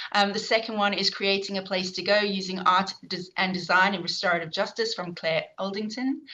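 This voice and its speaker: The voice has a bright, sharp tone and a South African accent. It moves at a moderate pace with fairly even intonation. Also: woman. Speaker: professor and event chair. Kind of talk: online event introduction. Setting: online video event. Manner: hesitant, many fillers.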